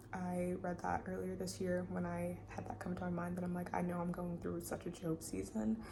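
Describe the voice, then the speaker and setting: A woman talks at a moderate pace with hardly any pauses and very even loudness. Audible room echo and noticeable background noise surround her voice. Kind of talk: testimony. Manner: soft-spoken.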